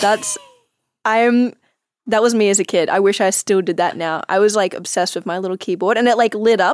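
With an Australian accent, a woman speaks fairly quickly at a medium pitch, her intonation fairly even. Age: 20s. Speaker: actress and photographer. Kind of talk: casual chat.

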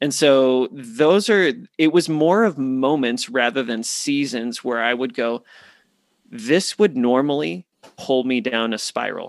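A man's normal speaking voice, medium in pitch, with lively intonation and a fairly slow pace. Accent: American. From US Southwest (Phoenix, Arizona). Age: 30s. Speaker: men's ministry leader. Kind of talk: interview.

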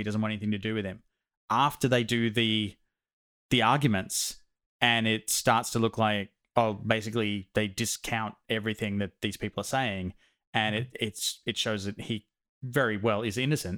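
In a plain, everyday voice of medium pitch, a man speaks at a fairly quick pace with fairly even intonation, the sound dry and close with no echo. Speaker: podcast host. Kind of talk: casual banter podcast.

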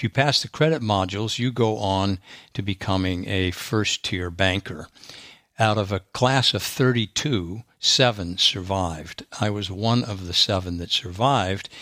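On a very clean recording with a silent background and a dry, close sound with no echo, a man with a fairly low pitch and a bright, sharp tone talks at a moderate pace with ordinary pitch variation. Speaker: former banking executive and singer-songwriter. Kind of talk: casual interview.

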